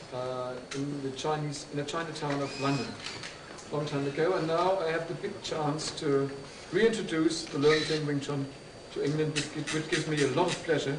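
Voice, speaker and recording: With a German accent, a man speaks at a fairly high pitch and a moderate pace, his intonation fairly even and his pauses long and frequent, amid noticeable background noise and audible room echo. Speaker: martial arts instructor. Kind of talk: speech to an audience. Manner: halting.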